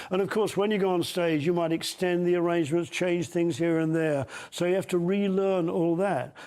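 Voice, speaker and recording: Speaking at a moderate pace with very even loudness, a man has a high pitch, a dark, mellow tone and fairly even intonation. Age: 80s+. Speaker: veteran pop band singer and bassist. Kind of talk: TV news interview.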